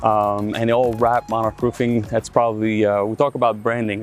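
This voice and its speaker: Over music in the background, a man with a Quebec accent talks at a fairly quick pace. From Quebec, Canada (Rimouski). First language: French. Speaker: roofing company owner. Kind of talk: interview.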